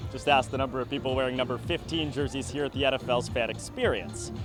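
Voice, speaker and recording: A man talking at a fairly quick pace over background music. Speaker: sports broadcaster. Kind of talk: TV news report.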